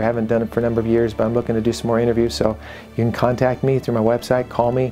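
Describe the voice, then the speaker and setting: A man speaks at a very fast pace while faint music plays in the background. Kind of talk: program introduction to camera. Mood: warm, grateful. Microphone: lapel.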